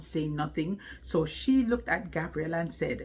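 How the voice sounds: At a fairly slow pace, a woman talks with a low pitch and ordinary pitch variation.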